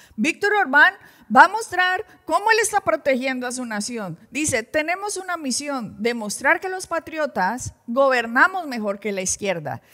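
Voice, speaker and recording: Raised and projected, a woman's high voice swings very widely in pitch as she speaks at a fairly slow pace. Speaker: pastor presenting news commentary. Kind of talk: religious news commentary. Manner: animated.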